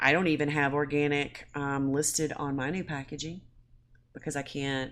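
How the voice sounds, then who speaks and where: A woman's very deep, low-pitched voice holds a monotone, flat intonation. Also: moderate pace. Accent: Southern US. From US South, Mississippi. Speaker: small food business owner. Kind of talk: casual chat.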